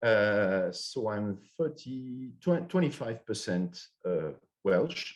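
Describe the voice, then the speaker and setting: With a French accent, a man speaks very slowly at medium pitch, his pitch swinging very widely. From France. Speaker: finance professor. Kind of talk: conference presentation. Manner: halting, many fillers and restarts.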